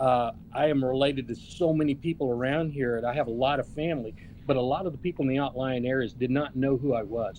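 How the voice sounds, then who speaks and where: In an Oklahoma accent, a man speaks at a very fast pace with fairly even intonation. His pitch sits in the medium range. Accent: Oklahoma American English. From Oklahoma, US (Okmulgee). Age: 60s. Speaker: political candidate. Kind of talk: interview. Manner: halting.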